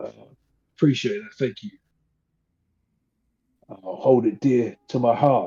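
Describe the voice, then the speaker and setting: A man puts on a raspy character voice at medium pitch, speaking fairly slowly with very wide pitch swings and long, frequent pauses. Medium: actual play. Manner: friendly, easygoing.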